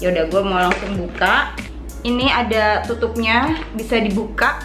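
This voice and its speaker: A woman speaks at a fairly slow pace with ordinary pitch variation. Music is clearly heard in the background. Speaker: beauty vlogger. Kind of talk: casual product review chat. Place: home room.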